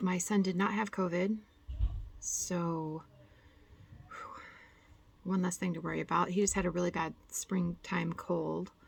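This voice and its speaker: Soft-spoken and monotone, a woman talks with flat intonation and long, frequent pauses. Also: medium pitch for a woman, fairly slow pace. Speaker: cross-stitch vlogger. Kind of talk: casual chat.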